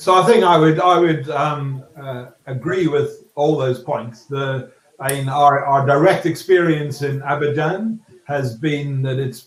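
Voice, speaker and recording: In a Scottish accent, a man talks at a fairly slow pace in a fairly high pitch with ordinary pitch variation. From Scotland. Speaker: property developer. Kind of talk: panel discussion. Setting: webinar. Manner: halting.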